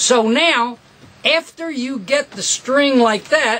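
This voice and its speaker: Over noticeable background noise, a man speaks in a raised, projected voice with very wide pitch swings. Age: 70s. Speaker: guitar repair technician and teacher. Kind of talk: tutorial. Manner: animated.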